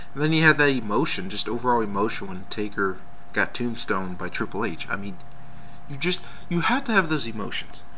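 Light background noise sits behind a man's voice. He talks at a fairly quick pace with lively intonation. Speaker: wrestling fan video blogger. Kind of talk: casual video response rant about wrestling matches. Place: home room. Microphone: webcam.

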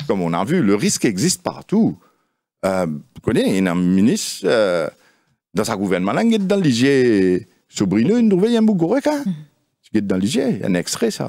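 Against a quiet background, a man with a dark, mellow tone talks fairly slowly, his pitch swinging very widely. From Mauritius. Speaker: political party leader; guest. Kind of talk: political debate interview. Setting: studio. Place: studio. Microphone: studio mic.

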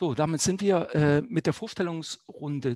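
A man speaks at a fairly slow pace in a normal speaking voice with ordinary pitch variation. The sound is dry and close, with no echo. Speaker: newspaper journalist moderating a debate. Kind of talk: moderated political debate. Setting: online stream.

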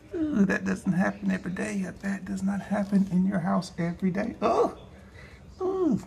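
Someone with a Southern US accent talks at a moderate pace amid noticeable background noise. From Georgia, US. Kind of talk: casual talk while filming.

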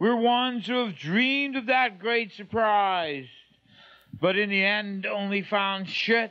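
Over a quiet background, the speech moves at a very slow pace with ordinary pitch variation. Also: man. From Canada. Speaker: poet. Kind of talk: poetry reading. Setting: home recording, 1993 archive tape. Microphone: old recording.

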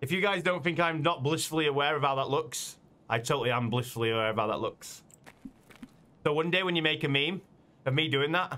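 Very fast delivery with very even loudness and ordinary pitch variation. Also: man. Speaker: game streamer. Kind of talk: casual stream chat.

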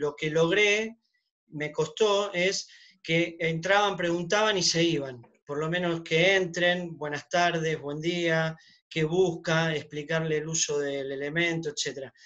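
A man with a high pitch and a bright, sharp tone speaks at a very slow pace with fairly even intonation against a quiet background. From Argentina, Buenos Aires. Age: 50s. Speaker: shop owner. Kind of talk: audience question. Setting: video call. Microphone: video call.

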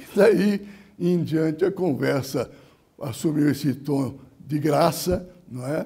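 Against a quiet background, a man speaks at a very slow pace in a dark, mellow tone with ordinary pitch variation and long, frequent pauses. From São Paulo state, Brazil. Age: 80s+. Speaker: retired labour judge and lawyer; retired labour judge, lawyer. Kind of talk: oral history testimony. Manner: formal. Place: studio. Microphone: lapel.

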